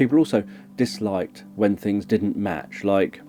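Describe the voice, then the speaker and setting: Music plays in the background as a man speaks at a moderate pace. His pitch is fairly low. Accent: British. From countryside. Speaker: hypnotherapist and ASMR creator. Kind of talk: educational talk. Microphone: mono microphone.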